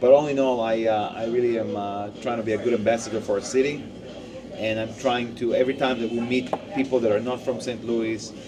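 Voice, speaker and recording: A man with an Israeli accent speaks at a fairly quick pace and medium pitch, with fairly even intonation, audible room echo and noticeable background noise. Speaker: podcast co-host. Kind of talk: casual chat. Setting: deli.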